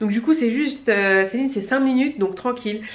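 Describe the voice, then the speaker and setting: Against noticeable background noise, a woman speaks fairly quickly with lively intonation. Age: 30s. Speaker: beauty vlogger. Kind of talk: casual vlog talk to camera. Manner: fast; animated.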